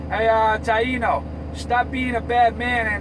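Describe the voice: Against clear background noise, a man talks at a fairly slow pace with a high pitch.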